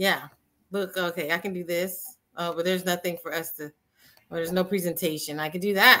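Speaking at a fairly quick pace, a woman has a fairly low pitch and a bright, sharp tone. Her intonation is monotone and flat. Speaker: spiritual podcast host. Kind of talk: casual chat. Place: home room.

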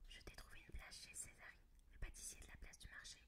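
A soft-spoken woman whispers at a fairly quick pace over noticeable background noise. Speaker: ASMR reader. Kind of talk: whispered book reading for ASMR. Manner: whispered, soft. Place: home room. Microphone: studio mic.

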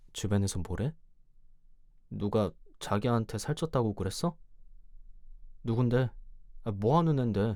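Speech comes at a fairly slow pace in a dark, mellow tone, broken by long, frequent pauses. The recording is very clean, with a silent background. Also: man, medium pitch for a man. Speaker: ASMR creator. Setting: ASMR recording, close microphone. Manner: soft, close-mic, tender and coaxing, playfully scolding; animated, teasing, with laughs and coos.

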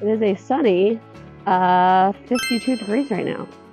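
Over clear music in the background, the voice has ordinary pitch variation and a dry sound with no echo. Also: woman. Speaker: travel vlogger. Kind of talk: casual vlog chat. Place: open country. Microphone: phone near.

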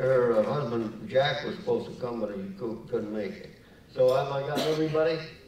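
Lively intonation carries a man's fairly quick speech, with audible room echo and light background noise. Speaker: golf champion honoree. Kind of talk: acceptance speech and interview answers. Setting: gala stage with audience. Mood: reminiscent, warm. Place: hall. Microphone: lapel.

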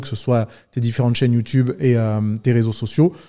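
A man speaks at a very fast pace in a dark, mellow tone. The background is quiet. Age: 30s. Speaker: podcast host and fitness YouTuber; podcast host, fitness YouTuber. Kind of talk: casual interview conversation. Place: studio. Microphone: studio mic.

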